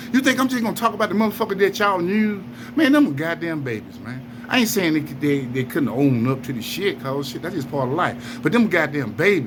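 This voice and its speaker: Over noticeable background noise, a man speaks fairly quickly at a fairly high pitch. His tone is animated, with very wide pitch swings. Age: 60s. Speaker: wrongfully convicted man speaking out. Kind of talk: angry monologue to camera.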